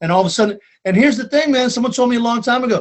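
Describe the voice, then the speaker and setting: A man with a Boston accent speaks in an animated tone with lively intonation. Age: 50s. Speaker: stand-up comedian. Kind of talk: casual chat.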